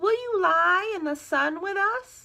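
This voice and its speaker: A woman puts on a squeaky character voice, extremely high in pitch, speaking at a fairly slow pace. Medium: read story. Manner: sing-song animal sounds.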